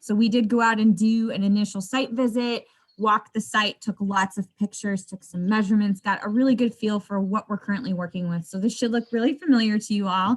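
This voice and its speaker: A woman talks at a fairly quick pace with hardly any pauses, her voice fairly high and somewhat breathy. Her intonation stays fairly even, and the sound is dry and close with no echo. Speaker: landscape designer. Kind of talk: presentation. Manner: fast.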